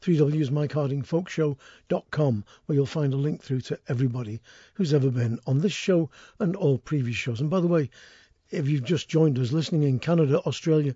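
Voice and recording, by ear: A man's fairly high voice with a dark, mellow tone and a slightly husky edge, at a fairly quick pace. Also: ordinary pitch variation.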